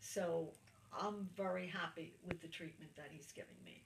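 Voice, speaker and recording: At a moderate pace, a woman with a fairly low pitch speaks over noticeable background noise. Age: 70s. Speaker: cancer patient interviewee. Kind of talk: interview testimony. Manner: halting.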